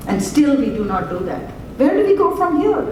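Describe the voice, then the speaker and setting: Very wide pitch swings mark this moderately paced speech, heard over noticeable background noise and audible room echo. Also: woman. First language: not English (English is third language). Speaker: physician researcher. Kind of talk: conference presentation. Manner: animated, gesturing.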